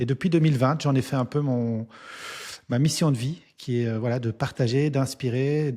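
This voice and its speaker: Over a very clean, silent background, a man with a dark, mellow, somewhat breathy tone speaks at a moderate pace with fairly even intonation. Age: 40s. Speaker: entrepreneur and business coach, author. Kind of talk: interview. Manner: hesitant, many fillers.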